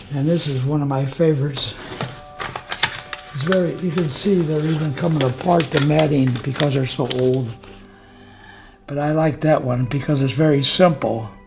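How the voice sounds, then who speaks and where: Music plays in the background and the room echo is audible as a man talks at a moderate pace in a fairly high voice, with fairly even intonation and long, frequent pauses. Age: 90s. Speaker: retired painter and war veteran. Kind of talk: casual interview.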